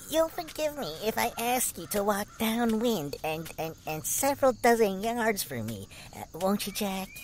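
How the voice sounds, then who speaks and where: A put-on character voice, whiny in tone and fairly high-pitched, talks at a moderate pace. Clear background noise can be heard behind it. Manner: whiny, sarcastic.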